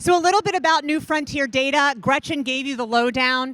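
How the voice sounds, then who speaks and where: A woman with an American accent uses a raised, projected voice at a high pitch, with ordinary pitch variation. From Indiana, US Midwest. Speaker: cannabis researcher. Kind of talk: conference talk. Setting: stage with audience. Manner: loud.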